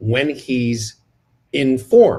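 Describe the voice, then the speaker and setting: Somewhat breathy and medium in pitch, a man speaks over a quiet background. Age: 60s. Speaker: radio broadcaster. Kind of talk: casual chat.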